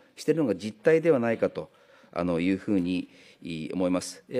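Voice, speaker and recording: A man talks with a dark, mellow tone. His pitch swings very widely. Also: quiet background. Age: 60s. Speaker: politician. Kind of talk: parliamentary questioning. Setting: parliamentary committee room. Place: meeting room. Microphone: podium.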